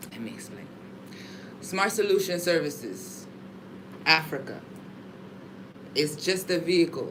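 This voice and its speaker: Someone with an American accent talks at a fairly slow pace, leaving long, frequent pauses. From California. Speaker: entrepreneur. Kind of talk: business meeting.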